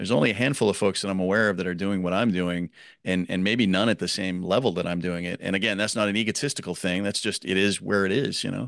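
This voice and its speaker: With an American accent, a man talks at a very fast pace with hardly any pauses, his fairly low voice held to fairly even intonation against a quiet background. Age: 50s. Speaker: podcaster and education activist. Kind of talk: casual interview.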